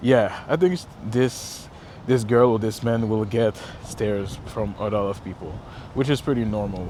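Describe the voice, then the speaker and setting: Over noticeable background noise, a man speaks in a Quebec accent with ordinary pitch variation. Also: medium pitch for a man, fairly slow pace. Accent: French Canadian accent in English. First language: French. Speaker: travel vlogger. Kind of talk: casual walk-and-talk vlog. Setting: outdoors walking by a river. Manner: halting, many fillers and self-corrections.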